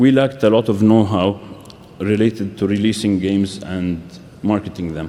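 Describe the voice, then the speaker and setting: Fairly low in pitch, a man speaks at a moderate pace with fairly even intonation. There is noticeable background noise. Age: 30s. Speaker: game publisher. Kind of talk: conference talk. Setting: stage with audience. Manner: halting, with fillers and restarts.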